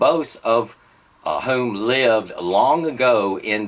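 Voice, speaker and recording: A man in a Southern US accent speaks at a very slow pace. His medium-pitched voice has lively intonation. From US South. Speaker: motorsport vlogger. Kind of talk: casual vlog monologue. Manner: hesitant with fillers.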